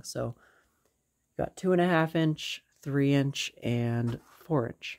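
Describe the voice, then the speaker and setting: The setting around him is quiet. This man's tone is dark and mellow. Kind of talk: casual show-and-tell commentary. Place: home room. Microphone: phone near.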